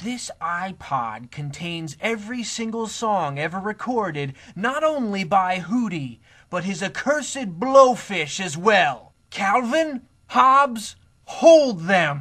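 Against a quiet background, a man puts on a cartoonish character voice, high-pitched with very wide pitch swings and a fairly slow pace. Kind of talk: comic overacting. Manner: theatrical, gloating, aggrieved.

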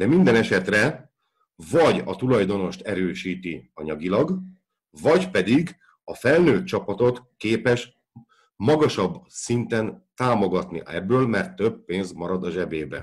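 The voice moves very slowly while its pitch swings very widely. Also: man, medium pitch for a man. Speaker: football podcast co-host, banking professional. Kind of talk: explanatory discussion. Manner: halting, many filler sounds.

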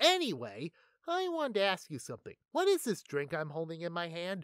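Someone does a put-on character voice at a middle pitch and a fairly quick pace, on a very clean recording with a silent background. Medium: comedy sketch. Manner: upbeat, breezy.

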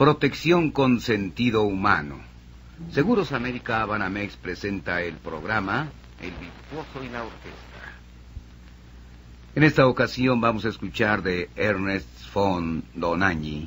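A man's fairly low, fairly slow voice with very wide pitch swings, big swings in loudness and long, frequent pauses over light background noise. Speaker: radio announcer. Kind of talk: radio announcer continuity, classical music program. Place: studio. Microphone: old recording.

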